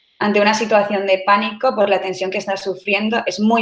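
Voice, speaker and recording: The voice belongs to a woman. It stays monotone and flat throughout. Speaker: startup CEO. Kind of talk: online talk. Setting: online session. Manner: fast.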